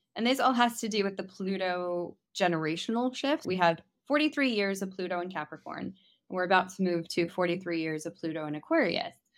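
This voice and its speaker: In a very clean recording with a silent background, a woman with a plain, everyday voice at a medium pitch talks at a fairly quick pace with lively intonation. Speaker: futurist and astrologer. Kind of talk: reading aloud.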